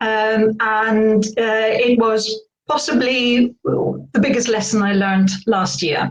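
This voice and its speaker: Speaking at a very slow pace, a woman with a slight British accent has a fairly high pitch. Her pitch varies in an ordinary way. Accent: slight UK. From Spain. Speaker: burnout coach. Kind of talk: interview.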